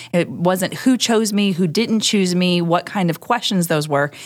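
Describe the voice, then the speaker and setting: A woman speaks in a normal speaking voice at a medium pitch and a moderate pace. The recording is very clean with a silent background. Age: 30s. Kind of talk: casual chat.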